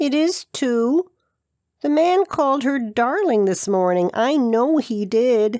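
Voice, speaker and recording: A put-on character voice moves at a fairly slow pace over a quiet background. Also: female-sounding voice, high pitch for a woman. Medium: read story. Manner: eager, earnest.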